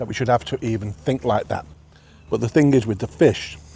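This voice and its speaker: A man's medium-pitched voice with vocal fry, lively intonation and a fairly quick pace. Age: 60s. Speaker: food reviewer. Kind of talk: casual vlog review while eating. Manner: animated.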